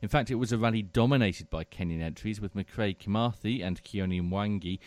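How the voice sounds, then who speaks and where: A man with a plain, everyday voice speaks with hardly any pauses on a very clean recording with a silent background and a dry, close sound with no echo. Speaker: executive producer and news presenter. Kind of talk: live radio magazine show chat.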